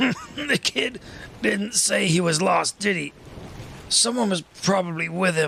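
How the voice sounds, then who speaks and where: A man puts on a raspy, high-pitched character voice with lively intonation. He talks at a fairly slow pace, leaving long, frequent pauses. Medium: read story.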